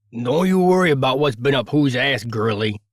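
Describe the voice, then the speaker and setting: Putting on a gruff character voice in an East Coast accent, a man speaks at a medium pitch and a moderate pace. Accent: brusque East Coast. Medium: read story. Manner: brusque, gruff.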